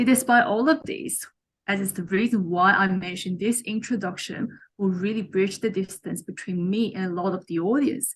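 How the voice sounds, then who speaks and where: A woman with a Chinese accent speaks at a medium pitch, somewhat breathy. Her pace is moderate and her pitch variation ordinary. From China. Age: young. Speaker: mentor and author. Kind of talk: interview.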